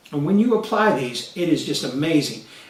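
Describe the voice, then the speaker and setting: Noticeable background noise and audible room echo surround a man with a high pitch. His tone is animated, and his pitch swings very widely. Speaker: motivational coach. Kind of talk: motivational talk to camera.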